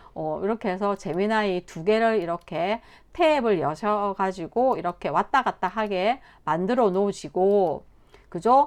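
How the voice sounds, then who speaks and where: A woman uses ordinary pitch variation in a normal speaking voice. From Korea, Busan. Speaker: instructor. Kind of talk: tutorial.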